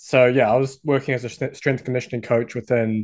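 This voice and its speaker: At a fairly quick pace, a man of medium pitch speaks with a New Zealand accent. His intonation is fairly even. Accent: New Zealand (Kiwi). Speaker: sports coach and website owner. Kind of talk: interview chat.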